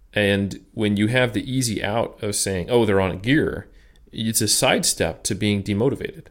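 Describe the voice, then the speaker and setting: Very clean, silent-background recording of a man in a plain, everyday voice, fairly low in pitch, at a moderate pace with ordinary pitch variation. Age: 30s. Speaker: strength and conditioning researcher and coach. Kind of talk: interview conversation.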